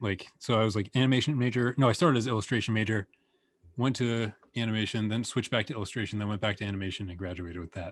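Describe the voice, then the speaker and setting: On a very clean recording with a silent background, a man with an American accent talks at a very fast pace and fairly low pitch with ordinary pitch variation. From United States. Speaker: animator and illustrator. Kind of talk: casual interview.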